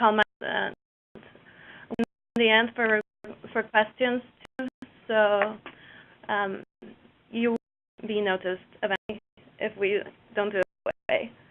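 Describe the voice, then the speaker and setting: Woman with a Mexican accent, fairly high in pitch, fairly slow, with long, frequent pauses and monotone, flat intonation. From Mexico. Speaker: cooperative business developer. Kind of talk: webinar presentation. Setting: online webinar.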